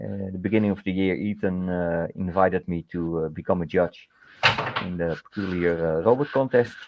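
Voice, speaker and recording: With a Dutch accent, a man speaks at a very deep, low pitch. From Netherlands. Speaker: scale modeller, contest judge. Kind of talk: casual interview. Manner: hesitant, many fillers.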